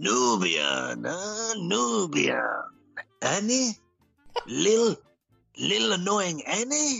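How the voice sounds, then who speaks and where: A man in a put-on character voice speaks at a very slow pace and a high pitch, with long, frequent pauses and faint music in the background. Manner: gruff, grumbling.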